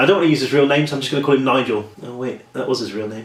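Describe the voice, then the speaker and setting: Someone speaks in a British accent, with audible room echo and noticeable background noise. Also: man. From England, Norwich. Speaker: horror author. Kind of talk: casual vlog storytelling. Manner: chatty, talks a lot.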